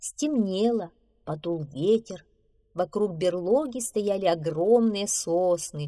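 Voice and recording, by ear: The text is read aloud in a natural voice, and the pitch shifts in an ordinary way.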